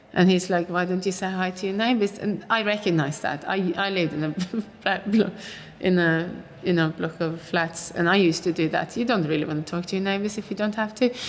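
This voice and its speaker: Over noticeable background noise, a woman with a Norwegian accent talks at a fairly quick pace with fairly even intonation. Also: medium pitch for a woman. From Oslo, Norway. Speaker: actor. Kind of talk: interview answer.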